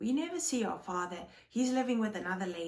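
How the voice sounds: The reading voice here is natural.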